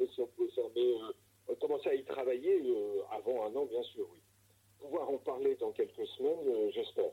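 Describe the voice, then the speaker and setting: The recording is close and dry, without any echo. It is a man talking. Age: 60s. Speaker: sailboat shipyard director. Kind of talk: interview. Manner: hesitant with frequent fillers.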